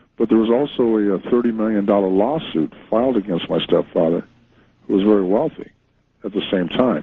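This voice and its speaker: A man with an unremarkable speaking voice at medium pitch and a fairly quick pace. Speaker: author, interview guest. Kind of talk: radio interview answer, true crime story.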